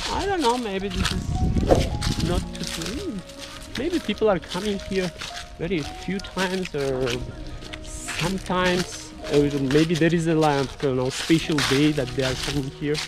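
Against clear background music, a man talks at a fairly slow pace, the sound dry with no echo. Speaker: travel show host. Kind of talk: travel vlog commentary. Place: forest.

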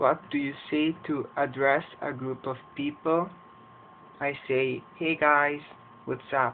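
Speaking at a very slow pace, a man with a fairly high pitch keeps a monotone, flat intonation. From Edmonton, Alberta, Canada. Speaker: English teacher. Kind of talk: casual talk to camera.

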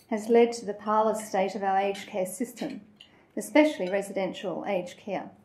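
A woman talks at a moderate pace with fairly even intonation. Audible room echo is present. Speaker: guest. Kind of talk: prepared talk. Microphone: handheld.

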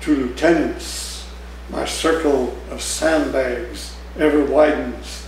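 A man talks at a very slow pace. Audible room echo and light background noise are present. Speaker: poet. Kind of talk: poetry reading, performed poem with dark menacing narration. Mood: warm, smiling, expressive. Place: cafe. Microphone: camera far.

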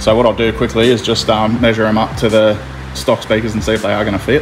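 Light background noise sits behind the recording. A man speaks at a very fast pace. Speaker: car audio DIY vlogger. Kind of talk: casual tutorial vlog chat. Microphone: phone near.

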